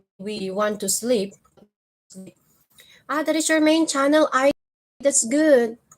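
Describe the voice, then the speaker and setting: With a Filipino accent, a woman speaks at a high pitch and a very slow pace, using lively intonation and long, frequent pauses. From Philippines. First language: Filipino (Tagalog). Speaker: vlogger. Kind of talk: live stream chat with viewers. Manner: casual, conversational.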